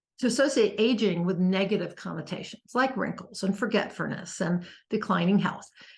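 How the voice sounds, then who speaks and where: This woman's voice is medium in pitch and somewhat breathy, delivered at a moderate pace. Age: 60s. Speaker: author and personal growth vlogger. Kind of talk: casual talk to camera. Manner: halting, many fillers.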